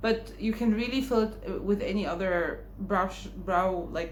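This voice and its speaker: A woman's fairly slow speech is heard with audible echo from the room. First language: Arabic (Egyptian). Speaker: beauty vlogger. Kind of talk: makeup tutorial and haul. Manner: casual, conversational.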